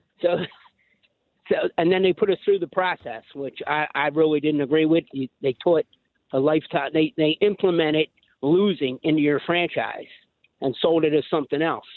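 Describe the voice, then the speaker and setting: A man with a Philadelphia accent talks at a moderate pace. His pitch is fairly high and his intonation fairly even. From Philadelphia area. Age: 60s. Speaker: caller. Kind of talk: call-in to sports radio. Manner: halting.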